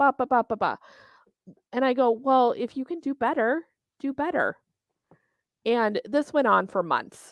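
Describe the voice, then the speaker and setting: Lively intonation in a Minnesotan accent, with a dry, close sound and no echo. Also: woman, quiet background. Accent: Minnesota. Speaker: bowling tournament organizer. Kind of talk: casual interview chat.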